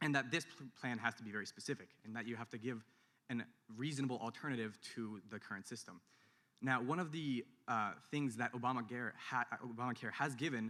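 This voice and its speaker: With a Californian accent, a man talks fairly quickly in a bright, sharp tone, his medium pitch showing ordinary variation. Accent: Californian American. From San Francisco. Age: young. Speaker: student audience member. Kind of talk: audience question. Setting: university hall with audience. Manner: fast.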